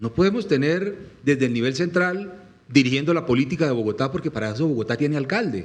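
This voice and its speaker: Noticeable background noise surrounds a man talking very fast. His pitch is fairly high and his intonation lively. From Colombian Llanos (Meta). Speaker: presidential candidate. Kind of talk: political interview talk. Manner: impassioned.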